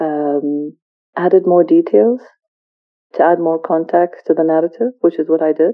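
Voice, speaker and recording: A woman's fairly low voice with an Arabic accent. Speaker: author and entrepreneur. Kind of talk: interview. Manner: halting.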